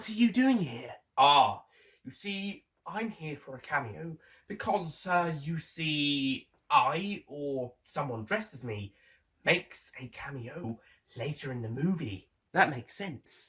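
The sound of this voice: A man puts on a character voice, fairly high in pitch, with a slightly husky edge, a fairly bright tone, lively intonation and a slow pace.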